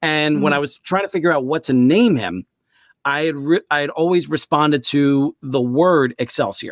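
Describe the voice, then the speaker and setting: A man's fairly high voice with ordinary pitch variation at a moderate pace, dry and close with no echo, on a very clean recording with a silent background. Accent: New York. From New York. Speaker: author, voice actor, audiobook narrator. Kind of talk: interview answer.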